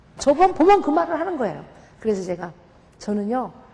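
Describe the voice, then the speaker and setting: A woman's voice rises and falls in very wide pitch swings over noticeable background noise. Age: 50s. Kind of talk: testimony.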